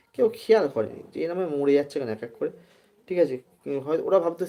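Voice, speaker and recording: High-pitched speech from a man with very wide pitch swings. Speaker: live-stream storyteller. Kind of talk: casual storytelling livestream. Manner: halting, many pauses and fillers.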